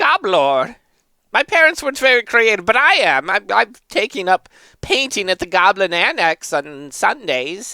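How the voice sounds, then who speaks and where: A put-on character voice, fairly high and swinging very widely in pitch, at a moderate pace. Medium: actual play. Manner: boastful, comic.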